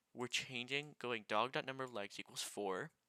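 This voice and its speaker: The sound is dry and close, with no echo. A man with a bright, sharp tone speaks at medium pitch with fairly even intonation. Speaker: programming tutorial maker. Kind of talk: tutorial. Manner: halting, repeats words.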